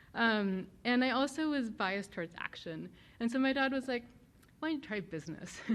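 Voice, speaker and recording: This woman speaks at a fairly quick pace. Her intonation is lively and her pitch fairly high. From Germany, moved to New Jersey as a child. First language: German. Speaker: venture capital investor, guest speaker. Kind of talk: talk to students.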